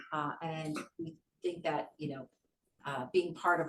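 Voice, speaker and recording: This woman's voice sits very deep and low in pitch. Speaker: workshop presenter. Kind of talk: workshop presentation. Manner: fast.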